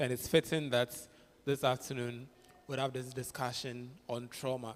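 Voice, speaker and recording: Monotone, flat intonation from a man. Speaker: clinical psychologist. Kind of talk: interactive talk. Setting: church.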